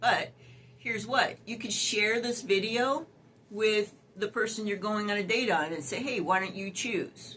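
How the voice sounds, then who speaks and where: Fairly high in pitch, a woman speaks at a fairly slow pace against noticeable background noise. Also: ordinary pitch variation. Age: 60s. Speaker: dating advice youtuber. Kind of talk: casual advice vlog. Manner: chatty, many fillers.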